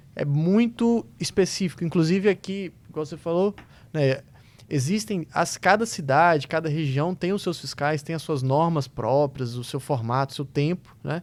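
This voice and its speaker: Fairly high in pitch, a man speaks in an unremarkable speaking voice at a moderate pace with ordinary pitch variation. The recording is very clean, the background silent. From Minas Gerais, Brazil. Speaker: podcast host. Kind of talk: interview question.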